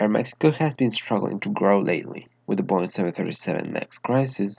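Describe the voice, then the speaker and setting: Speaking with a Spanish accent, a man with a fairly low pitch talks at a fairly quick pace. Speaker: aviation enthusiast YouTuber. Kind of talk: narrated airline analysis.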